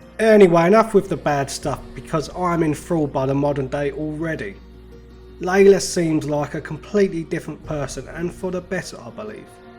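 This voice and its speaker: Over music in the background, a man talks fairly quickly in a fairly high voice with ordinary pitch variation. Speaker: gaming YouTuber. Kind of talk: casual game review to camera.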